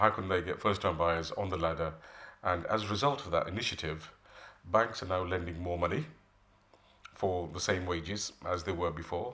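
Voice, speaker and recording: Bright and sharp in tone, a man speaks with a very deep, low pitch and ordinary pitch variation. His pace is moderate, with long, frequent pauses. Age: 60s. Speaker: mortgage advisor. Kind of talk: interview.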